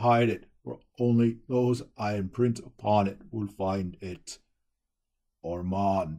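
Using a put-on character voice, a man speaks at a fairly low pitch and a very slow pace. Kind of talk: fantasy journal monologue. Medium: read story. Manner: grave, weary, formal.

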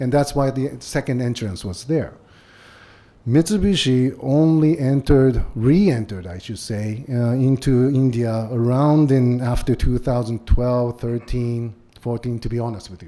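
A man with a Japanese accent speaks at a fairly slow pace in a dark, mellow tone. His loudness swings widely while his pitch varies in an ordinary way. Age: 50s. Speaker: business executive. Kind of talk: lecture. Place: hall. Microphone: podium.

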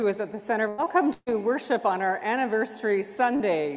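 With ordinary pitch variation, the woman talks at a moderate speed. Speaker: minister leading worship. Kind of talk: worship welcome and announcements. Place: church.

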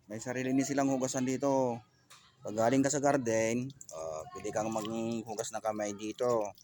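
Noticeable background noise sits behind a man with a medium pitch. He speaks at a moderate pace with ordinary pitch variation. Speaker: vlogger and gardener. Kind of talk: casual vlog narration. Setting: outdoors in a garden.

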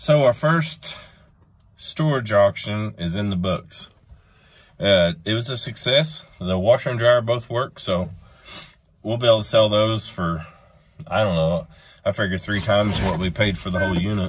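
Against a quiet background, a man talks at a moderate pace with a fairly low, somewhat breathy voice. His intonation is lively, broken by long, frequent pauses. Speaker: homestead vlogger. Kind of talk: casual vlog narration. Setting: outdoors.

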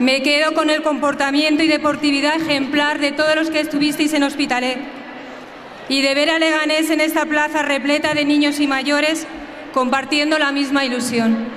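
A woman speaks in a high voice at a moderate pace, her loudness very even and her intonation monotone and flat. Light background noise can be heard. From Spain. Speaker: football club president. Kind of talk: festival opening speech. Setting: outdoors, PA system. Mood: proud, emotional. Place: street. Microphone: podium.

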